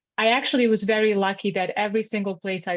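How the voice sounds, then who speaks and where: A woman speaks with a Bosnian accent. Her pace is fairly quick. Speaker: health coach and nutritionist. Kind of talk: educational seminar.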